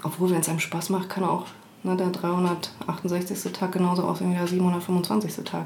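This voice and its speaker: A woman's fairly low voice holds a flat, monotone intonation and very even loudness at a fairly slow pace, with audible room echo and noticeable background noise. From East Germany. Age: 30s. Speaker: HR manager. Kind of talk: interview.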